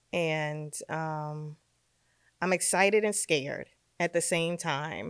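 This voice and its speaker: Fairly low-pitched, a woman talks with a New York accent in a dry, close sound with no echo, on a very clean recording with a silent background. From New York, Brooklyn. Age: 50s. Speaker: fashion stylist. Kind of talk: casual chat. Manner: animated.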